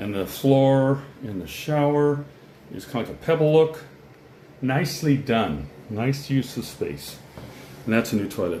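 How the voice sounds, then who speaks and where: The speaker has an American accent and a somewhat breathy voice, going at a fairly slow pace with long, frequent pauses. Loudness swings a lot, pitch varies in an ordinary way, and the room echo is audible. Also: man, medium pitch for a man. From Colorado. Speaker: real estate video presenter. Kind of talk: casual walkthrough commentary. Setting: walking through a house for sale. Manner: casual, unscripted.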